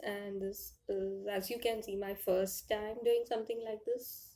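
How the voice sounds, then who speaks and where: A woman's dark, mellow tone in a monotone, flat delivery. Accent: Indian. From India. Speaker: author and indie publisher. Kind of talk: conference presentation. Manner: halting, with fillers.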